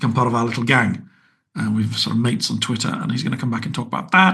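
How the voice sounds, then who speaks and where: Here a man talks with a British accent. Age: 60s. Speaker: podcast host, writer and TV producer. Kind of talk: podcast outro monologue. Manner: casual, chatty with fillers.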